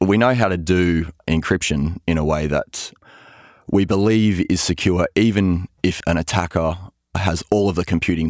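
Very deep and low, a man's voice comes with an Australian accent in a dry, close sound with no echo on a very clean recording with a silent background. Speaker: cryptography researcher. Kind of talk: interview, explanatory chat.

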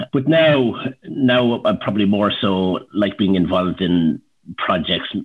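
With an Irish Midlands accent, a man speaks at a fairly low pitch. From Ireland, County Laois. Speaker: entrepreneur. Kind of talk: casual interview.

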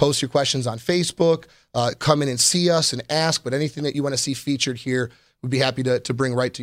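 A man with an American accent in a plain, everyday voice, medium in pitch, at a fairly quick pace with fairly even intonation. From Chicago, Illinois. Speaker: motorcycle dealership service manager and show host. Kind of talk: live-streamed show, casual presentation. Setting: studio.

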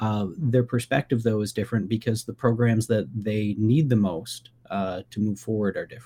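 This man talks at a moderate pace with a medium pitch, ordinary pitch variation, and a dark, mellow, somewhat breathy tone. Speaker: political science professor. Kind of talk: radio interview.

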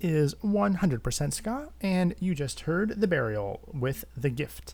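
The tone is relaxed. The speaker has an American accent. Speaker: ska radio show host. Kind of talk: radio DJ patter between records, back-announcing and introducing ska tracks. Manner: relaxed, conversational, hesitant with frequent 'uh' and 'um' fillers, earnest.

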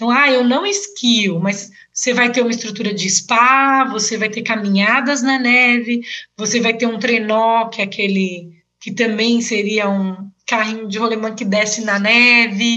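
A woman speaks at a fairly high pitch and a fairly slow pace, with fairly even intonation. Room echo is audible. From Brazil, São Paulo. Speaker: travel blogger and tour guide. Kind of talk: casual interview.

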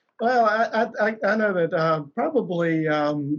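A man with an American accent. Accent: Southern US, slight now. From South Alabama. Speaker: company CEO. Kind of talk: interview, personal storytelling.

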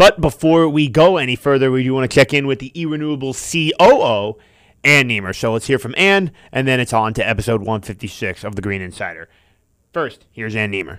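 On a very clean recording with a silent background, a man with an American accent has an unremarkable speaking voice, medium pitch, lively intonation and a fairly quick pace. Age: 20s. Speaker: podcast host. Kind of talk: podcast interview. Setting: studio.

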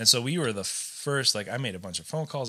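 A man speaks in a bright, sharp tone with ordinary pitch variation on a very clean recording with a silent background. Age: 30s. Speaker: chef and restaurant owner. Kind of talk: casual chat.

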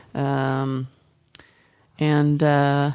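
A woman's very deep, low pitch with a dark, mellow tone. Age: middle-aged. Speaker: podcast co-host. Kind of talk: casual chat.

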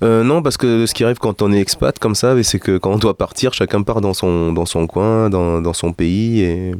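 In a very clean recording with a silent background and a dry, close sound with no echo, a man with a plain, everyday voice talks at a fairly low pitch and a moderate pace, with ordinary pitch variation, very even loudness and hardly any pauses. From Peru, South America, Middle East and Europe. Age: 40s. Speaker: musician and singer. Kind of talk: interview.

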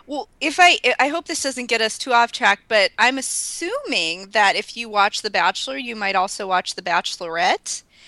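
Pitched fairly high, a woman speaks at a moderate pace with hardly any pauses and very wide pitch swings, in a dry, close sound with no echo but noticeable background noise. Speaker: librarian. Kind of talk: casual chat.

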